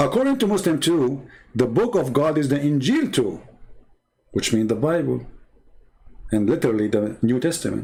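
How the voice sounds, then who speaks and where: A man with a fairly high pitch and a dark, mellow tone speaks at a moderate pace with very wide pitch swings. His loudness stays very even, and he takes long, frequent pauses. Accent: Arabic. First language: Arabic. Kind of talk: livestream polemic talk. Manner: animated. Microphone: audio problems.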